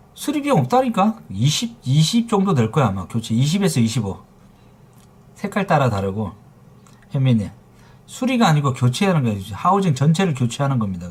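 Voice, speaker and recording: In an animated tone, a man talks at a fairly quick pace in a fairly high, somewhat breathy voice, his pitch swinging very widely, with long, frequent pauses. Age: 40s. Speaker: phone repair shop owner streaming live. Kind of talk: live stream chat with viewers. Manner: forceful, blunt; casual banmal, animated.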